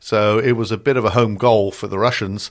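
This is a man with a British accent, speaking at a moderate pace. The recording is very clean and the background silent. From Britain. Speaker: cybersecurity strategist. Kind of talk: interview.

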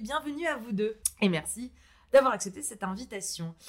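Fairly high-pitched woman's voice with very wide pitch swings at a moderate pace. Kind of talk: interview.

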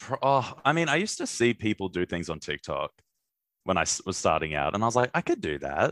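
The sound is dry and close with no echo. A man at medium pitch keeps a moderate pace, his pitch swinging very widely. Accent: Australian. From Brisbane, Australia. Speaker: comedian. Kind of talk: casual chat.

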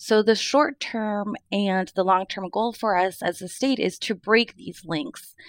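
Dry and close with no echo, the voice has a West Coast accent, a fairly slow pace with hardly any pauses, and ordinary pitch variation. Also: woman, medium pitch for a woman. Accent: American West Coast. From Mid-Willamette Valley, Oregon. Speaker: early learning partner engagement specialist. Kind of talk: panel interview.

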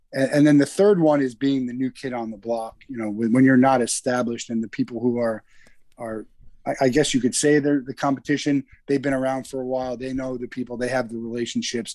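A man with an American accent speaks at a fairly quick pace in a medium pitch, his intonation fairly even and his tone dark and mellow. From US Northeast, New Jersey. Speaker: company founder and CEO. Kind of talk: casual interview.

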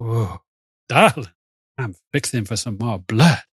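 Medium-pitched put-on character voice from a man at a fairly slow pace. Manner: sultry, bloodthirsty.

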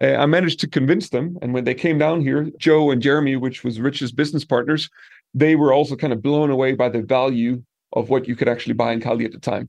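Against a quiet background, a man at medium pitch talks at a very fast pace with a Danish accent and fairly even intonation. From Denmark, small village. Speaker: property manager. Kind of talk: casual interview. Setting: roof terrace of an Airbnb.

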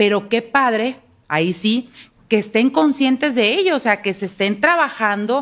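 A woman with a plain, everyday voice speaks at a fairly high pitch and a fairly slow pace, with lively intonation. The recording is very clean, with a silent background. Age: 40s. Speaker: university professor and podcast co-host. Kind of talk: casual chat.

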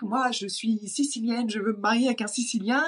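A woman with a normal speaking voice at a fairly quick pace. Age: 30s. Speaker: entrepreneur coach. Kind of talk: casual interview conversation.

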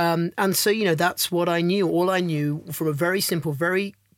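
In a very clean recording with a silent background, a man talks in a fairly high pitch with monotone, flat intonation. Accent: London. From London, England. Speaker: film director and actor. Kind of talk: casual interview.

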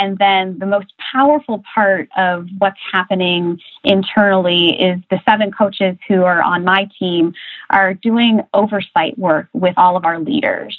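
In a Midwestern American accent, a woman speaks at a fairly slow pace. Her medium-pitched voice shows ordinary pitch variation. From US Midwest (rural Ohio). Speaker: corporate coaching director. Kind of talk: interview.

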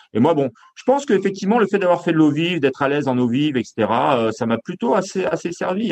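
Speaking at a fairly quick pace, a man swings his pitch very widely. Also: fairly high pitch for a man. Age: 50s. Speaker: Olympic canoe medalist and coach. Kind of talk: interview. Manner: halting, with many repetitions and fillers.

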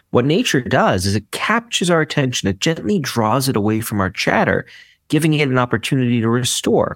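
In a plain, everyday voice, a man with an American accent talks at a fairly quick pace and medium pitch, with lively intonation and very even loudness, on a very clean recording with a silent background and a dry, close sound with no echo. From US, Brooklyn, New York. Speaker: psychology professor and author. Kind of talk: interview.

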